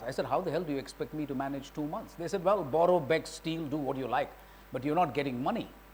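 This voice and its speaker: A fairly high-pitched male voice with audible room echo. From India. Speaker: retired diplomat. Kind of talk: lecture. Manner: loud.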